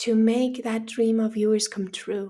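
Somewhat breathy, a woman speaks at a fairly slow pace in a passionate, warm tone. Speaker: podcast host. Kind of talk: pep talk, motivational monologue addressed straight to the listener, urging action. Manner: passionate, emphatic and urgent, with a coaching tone and punchy repeated commands; warm, direct, encouraging, like a firm friend pushing you.

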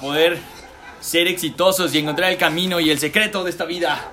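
A man speaks in a raised, projected voice at a moderate pace, with noticeable background noise behind him. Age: 20s. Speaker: podcast host. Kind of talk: casual chat. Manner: halting.

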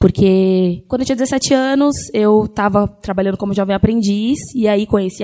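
With a dark, mellow tone, a woman speaks at a medium pitch with ordinary pitch variation. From Grajaú, south São Paulo, Brazil. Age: 20s. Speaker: singer-songwriter. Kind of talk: panel talk.

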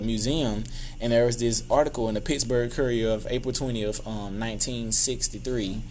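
A man's medium-pitched, monotone delivery in a Southern US accent, at a moderate pace with audible room echo. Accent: Southern US (Georgia). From US South, Albany, Georgia. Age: 20s. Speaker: youth mentor and nonprofit founder. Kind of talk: interview conversation.

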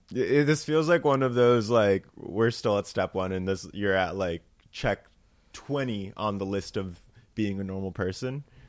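In a normal speaking voice, a man talks at a moderate pace, fairly low in pitch with ordinary pitch variation. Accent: American. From New Jersey. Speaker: comedian. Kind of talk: casual chat.

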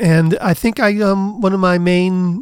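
This man talks with an American accent. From US Midwest, Cleveland Ohio. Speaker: neuroscience professor. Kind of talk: interview.

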